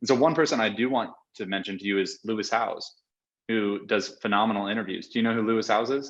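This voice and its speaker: The voice is energetic and very fast. Its pitch varies in an ordinary way. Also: man, medium pitch for a man. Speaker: video editing company founder and CEO. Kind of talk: podcast interview.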